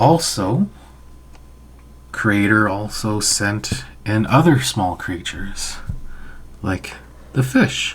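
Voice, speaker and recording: The voice is soft-spoken and somewhat breathy, moving at a very slow pace with long, frequent pauses. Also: man, fairly low pitch for a man. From Canada, Anishinaabe/Ojibway. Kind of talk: storytelling to an audience, educational.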